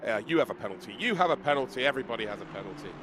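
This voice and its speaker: A man's medium-pitched voice at a very fast pace, over noticeable background noise. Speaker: esports race commentator. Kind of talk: live commentary. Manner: animated.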